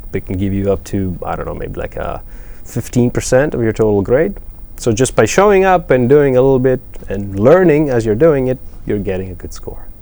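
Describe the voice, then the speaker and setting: With a Greek accent and a dark, mellow tone, a man talks at a fairly quick pace, his medium pitch swinging very widely. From Greece, Athens. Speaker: math professor. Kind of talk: interview. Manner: hesitant, with fillers.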